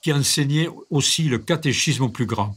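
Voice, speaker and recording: A man's fairly high, somewhat breathy voice with a regional French accent and ordinary pitch variation, in a very clean recording with a silent background. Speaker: reader. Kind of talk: reading aloud of a memoir.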